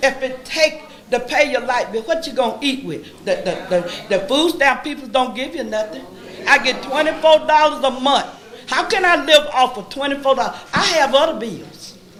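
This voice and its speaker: An American accent at a moderate pace, with ordinary pitch variation, noticeable background noise and audible room echo. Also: woman, high pitch for a woman. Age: 70s. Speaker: resident speaking at public comment. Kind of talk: public comment at council meeting. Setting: city council meeting.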